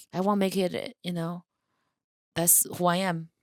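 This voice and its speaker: At a moderate pace, a woman speaks with fairly even intonation in a dry, close sound with no echo, on a very clean recording with a silent background. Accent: Chinese. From China. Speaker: comedian. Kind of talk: casual chat.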